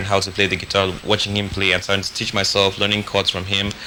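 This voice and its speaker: Noticeable noise lies beneath words delivered very quickly. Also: man. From Cameroon, Bamenda. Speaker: musician and activist. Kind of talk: interview. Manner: hesitant with many fillers.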